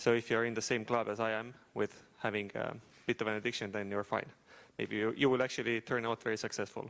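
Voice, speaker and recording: Speaking at a very fast pace with an Estonian accent, a man holds a medium pitch in a monotone, flat intonation on a very clean recording with a silent background. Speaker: startup founder and AI engineer. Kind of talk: talk to an audience.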